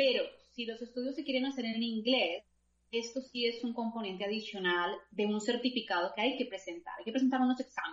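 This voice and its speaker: A woman talks with a plain, everyday voice at a fairly high pitch. Her pace is fairly quick, with ordinary pitch variation. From Colombia. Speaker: scholarship consultant. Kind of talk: interview.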